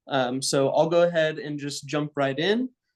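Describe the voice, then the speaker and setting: A man with an unremarkable speaking voice and an American accent, fairly high in pitch, at a fairly slow pace. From Texas, Dallas area. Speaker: graduate student interviewer. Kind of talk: interview.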